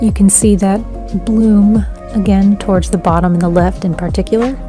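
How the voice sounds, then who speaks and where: The delivery is moderately paced. Music sounds clearly behind it. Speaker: amateur painting restorer. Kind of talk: tutorial voice-over narration. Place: home room.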